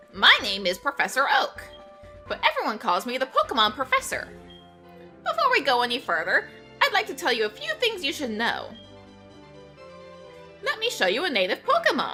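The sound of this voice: A nasal, high-pitched put-on character voice moves at a fairly quick pace while clear music plays in the background.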